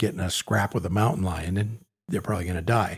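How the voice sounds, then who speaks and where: A man's voice comes through somewhat breathy, with lively intonation. The recording is very clean, with a silent background. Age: 60s. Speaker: podcast co-host. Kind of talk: casual chat.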